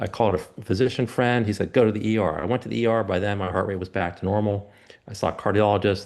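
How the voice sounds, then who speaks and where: Intonation stays fairly even while the words come at a very fast pace. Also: man, fairly low pitch for a man. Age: 60s. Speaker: physician and patient presenter. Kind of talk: personal story in a presentation. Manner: halting, many fillers and restarts.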